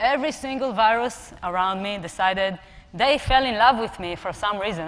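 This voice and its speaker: With an Israeli accent, a woman speaks at medium pitch amid audible room echo. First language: Hebrew. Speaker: personal trainer and app co-founder. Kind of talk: conference talk. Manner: halting.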